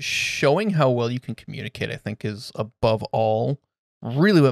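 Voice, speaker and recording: A man speaks at a moderate pace and a medium pitch. The sound is dry and close, with no echo. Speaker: podcast co-host. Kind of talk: casual chat. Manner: halting, many fillers.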